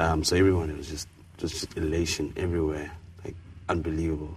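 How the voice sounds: This man has an extremely low pitch and a slightly mellow tone. He talks at a fast pace with little pitch movement.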